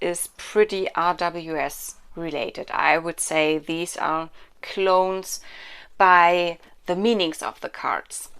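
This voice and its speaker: Over a very clean recording with a silent background, a woman speaks at a very slow pace. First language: not English. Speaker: tarot card reviewer. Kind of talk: product review and unboxing. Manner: halting, many fillers.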